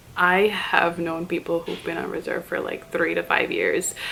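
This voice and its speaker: Soft-spoken, a woman talks at a moderate pace and a fairly low pitch. Noticeable background noise can be heard. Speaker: flight attendant vlogger. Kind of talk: casual vlog talk to camera.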